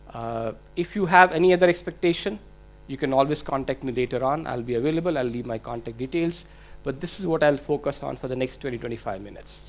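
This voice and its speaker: A man with an Indian accent talks at a very fast pace in a fairly high pitch. His loudness swings widely while his pitch variation stays ordinary. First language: Hindi. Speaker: IT manager. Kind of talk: conference presentation. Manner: hesitant, many fillers.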